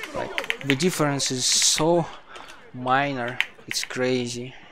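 A man talks at a medium pitch with a non-native accent. There is noticeable background noise in the recording. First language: not English. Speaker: speedrunner streamer. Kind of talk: casual live stream commentary while gaming.

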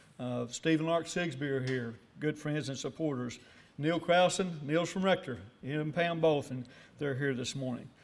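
A man with an Arkansas accent speaks at a moderate pace, fairly high in pitch with ordinary variation. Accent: Southern US, Arkansas. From US South, northeast Arkansas. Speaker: award recipient, businessman. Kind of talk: acceptance speech. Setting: breakfast banquet with audience. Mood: warm, grateful. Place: hall. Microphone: podium.

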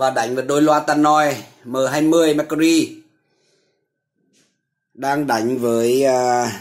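A man's slow, medium-pitched voice with fairly even intonation

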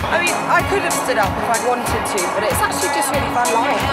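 A woman speaks at a very fast pace. Loud music plays behind her. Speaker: presenter. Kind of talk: casual talk to camera. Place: open country.

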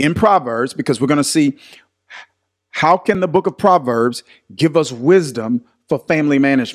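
Lively intonation marks this man's moderate-paced speech. He takes long, frequent pauses against a quiet background. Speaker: pastor teaching online. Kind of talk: livestream Bible study talk. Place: studio. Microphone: studio mic.

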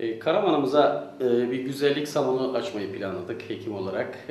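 A man is heard speaking amid light background noise, with room echo clearly audible. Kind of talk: interview answer. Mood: pleased, promotional. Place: shop.

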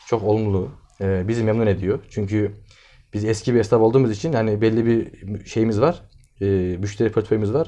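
In a dark, mellow tone, a man speaks at a moderate pace with fairly low pitch and fairly even intonation. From Turkey. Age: 20s. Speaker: agricultural engineer and farm supply dealer. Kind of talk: interview. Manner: hesitant, many filler sounds. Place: office. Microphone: camera far.

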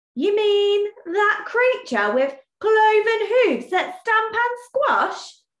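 Speaking at a very slow pace, a woman uses a put-on character voice that is shaky and extremely high in pitch. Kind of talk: storybook read-aloud with character voice.

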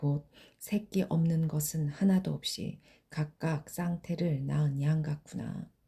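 Very deep and low in pitch, this woman's voice has a dark, mellow tone and is somewhat breathy. She speaks at a very slow pace with fairly even intonation. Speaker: Bible reader. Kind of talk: reading aloud.

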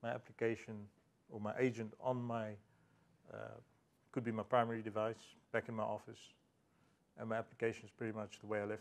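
A man speaks in a flat monotone at a very fast pace, broken by long, frequent pauses. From South Africa. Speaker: IT consultant; conference presenter. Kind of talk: conference talk. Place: hall. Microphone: podium.

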